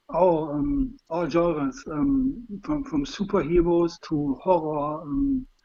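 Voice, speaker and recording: A man speaks very slowly with a German accent, his pitch high and swinging very widely. His tone is dark and mellow. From Germany. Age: 50s. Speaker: fan being interviewed. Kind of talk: interview. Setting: call on livestream. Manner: halting, many fillers.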